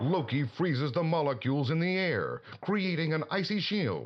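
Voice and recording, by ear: Over faint background noise, a man with fairly high pitch talks at a moderate pace, his pitch swinging widely.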